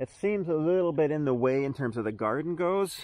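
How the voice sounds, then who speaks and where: The voice moves at a moderate pace, with a dry sound and no echo. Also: man. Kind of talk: casual vlog chat. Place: garden. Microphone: phone near.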